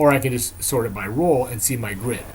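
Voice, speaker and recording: A man with a medium pitch and ordinary pitch variation sounds somewhat breathy. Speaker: software vendor presenter. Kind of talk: product demo presentation. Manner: fast.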